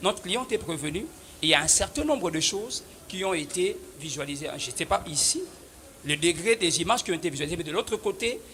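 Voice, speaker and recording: A man's high-pitched voice at a fairly quick pace, lively intonation and noticeable background noise. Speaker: defense lawyer. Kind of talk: courtroom pleading. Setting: courtroom. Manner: loud.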